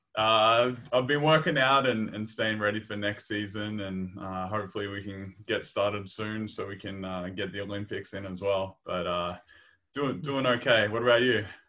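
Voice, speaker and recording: A man speaks in an Australian accent, his pitch fairly low. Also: ordinary pitch variation, moderate pace. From Australia, Victoria (Maryborough). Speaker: podcast host and pro basketball player. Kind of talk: casual interview chat; scripted intro.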